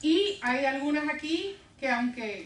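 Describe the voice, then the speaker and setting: Woman's voice with audible room echo. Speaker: women's ministry teacher. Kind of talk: interactive bible class. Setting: church classroom with group. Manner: conversational, asks questions.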